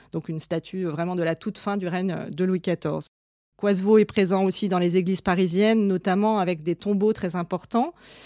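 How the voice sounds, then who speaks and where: Dark and mellow in tone, a woman speaks at a medium pitch and moderate pace with fairly even intonation. The sound is dry and close with no echo, and the background is silent in a very clean recording. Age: 30s. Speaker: museum curator and art historian. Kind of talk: interview monologue about her work. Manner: hesitant, with fillers and repeated words.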